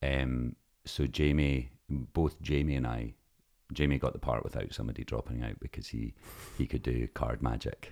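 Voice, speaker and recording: With a Scottish accent, a man speaks at a very deep, low pitch and with fairly even intonation. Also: moderate pace. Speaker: stage actor. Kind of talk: casual chat.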